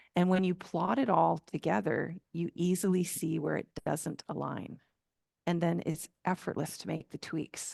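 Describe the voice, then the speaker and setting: A woman speaks at a fairly low pitch and fairly slow pace with ordinary pitch variation. The sound is dry and close with no echo, over a quiet background. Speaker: flow coach. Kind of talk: podcast interview answer.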